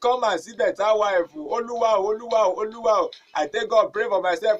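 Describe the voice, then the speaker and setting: A man with a high pitch talks at a fairly quick pace with ordinary pitch variation. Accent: Nigerian. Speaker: radio presenter. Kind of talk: comedic radio show. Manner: upbeat, animated.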